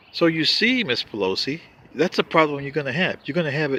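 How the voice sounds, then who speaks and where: The pace is fairly quick and the tone bright and sharp, with vocal fry. Pitch swings very widely. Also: man. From Panama. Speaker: political commentator vlogger. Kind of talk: political monologue.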